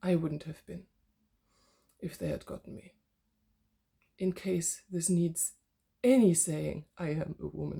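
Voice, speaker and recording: A woman with a dark, mellow tone and vocal fry speaks with big swings in loudness and long, frequent pauses. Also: ordinary pitch variation. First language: not English (English is her third language). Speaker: yoga teacher and philosophy student. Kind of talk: personal vlog monologue. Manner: halting, with fillers and restarts.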